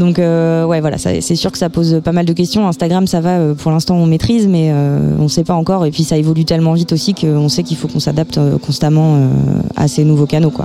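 Against noticeable background noise, a woman speaks fairly quickly with a very deep, low pitch and ordinary pitch variation. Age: 20s. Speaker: concert venue staff. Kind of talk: interview.

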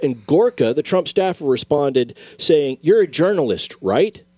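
A man talks at a moderate pace with lively intonation. There is music in the background. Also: hardly any pauses, very even loudness. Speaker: attorney, co-host. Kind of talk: casual legal discussion on radio. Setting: radio studio. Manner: jokey storyteller.

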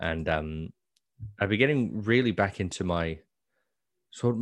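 A man's normal speaking voice, fairly low in pitch with ordinary pitch variation, over a quiet background. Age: 20s. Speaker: podcast co-host and actor. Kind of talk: casual chat. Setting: video call.

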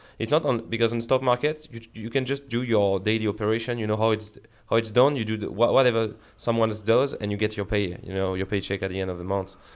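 A man with a French accent talks at a very fast pace, with a medium pitch and fairly even intonation. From France. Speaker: esports head coach. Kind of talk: casual chat.

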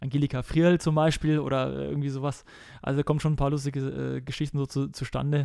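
A very fast male voice, fairly high in pitch, with a dark, mellow tone and flat, monotone delivery. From Bavaria, Germany (Kelheim, Unterhaching). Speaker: professional football goalkeeper. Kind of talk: casual interview.

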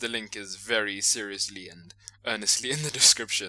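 In a South African accent, a bright, sharp voice moves at a fairly quick pace with ordinary pitch variation, captured in a very clean recording with a silent background. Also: man. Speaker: podcast host. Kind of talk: casual comedic banter.

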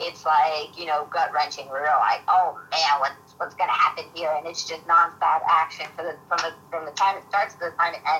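Talking with a New York accent at a moderate pace, a woman makes big swings in loudness and hardly any pauses. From Queens, New York. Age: 30s. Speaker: mixed martial arts fighter. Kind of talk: interview.

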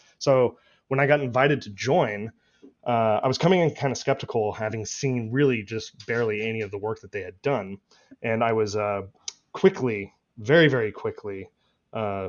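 With an American accent, a man uses a normal speaking voice at a medium pitch, talking at a moderate pace with ordinary pitch variation. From Austin, Texas. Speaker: bitcoin advocate, policy task force member. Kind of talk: casual interview chat.

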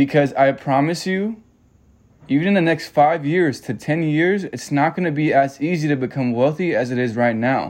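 Against a quiet background, a man with an American accent has an unremarkable speaking voice and a fairly high pitch. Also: ordinary pitch variation, moderate pace. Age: 20s. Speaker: podcast host. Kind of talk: solo podcast monologue.

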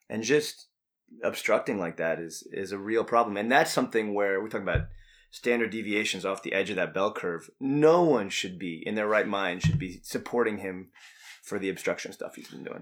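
A man with an American accent and a normal speaking voice, fairly low in pitch, at a moderate pace with ordinary pitch variation, on a very clean recording with a silent background. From New York State (Hudson Valley, north of NYC). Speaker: musician. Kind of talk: casual interview chat. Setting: studio.

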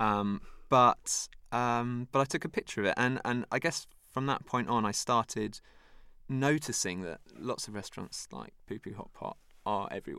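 On a very clean recording with a silent background, a man with a British accent speaks in a bright, sharp tone, his loudness swinging widely. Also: medium pitch for a man, ordinary pitch variation, moderate pace. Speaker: author. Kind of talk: casual interview. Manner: halting, many fillers.

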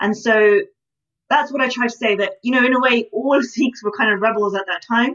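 A woman with a British accent, a fairly high pitch, ordinary pitch variation and a fairly quick pace. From Britain. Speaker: historian and author. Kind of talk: interview.

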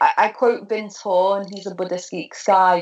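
A woman speaks with a Liverpool accent. Her intonation stays fairly even. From Liverpool, northwest England. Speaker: professor of religious studies and author. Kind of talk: interview about her book.

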